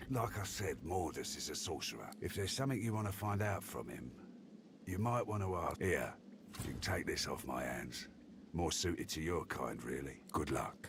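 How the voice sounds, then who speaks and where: A put-on, gruff character voice from a man, very deep and low, at a moderate pace amid clear background noise. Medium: video game. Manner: gruff, streetwise slang.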